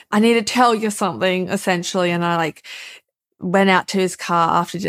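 Fairly even intonation in an Australian accent, on a very clean recording with a silent background. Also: woman. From Australia, Melbourne. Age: 20s. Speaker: writer and editor. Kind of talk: casual interview.

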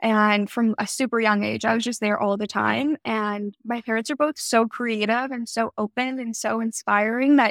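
A woman with a Canadian accent has an unremarkable speaking voice and a fairly high pitch. She talks at a moderate pace with fairly even intonation and hardly any pauses, in a dry, close sound with no echo. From Toronto, Canada. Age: 20s. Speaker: skincare brand founder. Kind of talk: interview.

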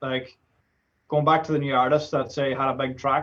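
This man sounds somewhat breathy, speaking with an Irish accent in a monotone, flat intonation. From Ireland. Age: 20s. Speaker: DJ and music producer. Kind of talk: casual chat.

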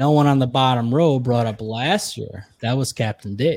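Here is an unremarkable speaking voice from a man with an American accent. He talks at a medium pitch and a moderate pace. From upstate New York. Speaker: podcaster. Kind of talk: casual chat.

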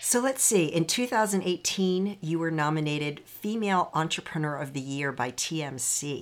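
A woman talks fairly slowly with hardly any pauses in a fairly low pitch. She has an ordinary speaking voice. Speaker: podcast host and happiness coach. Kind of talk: podcast intro and interview.

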